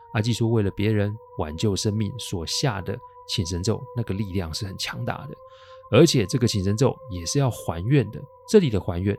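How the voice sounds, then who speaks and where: Over noticeable background noise, a man with a fairly low pitch speaks in a relaxed tone at a moderate pace with ordinary pitch variation. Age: 40s. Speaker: paranormal storyteller podcaster. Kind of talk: storytelling narration. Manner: relaxed, frequent sentence-final particles.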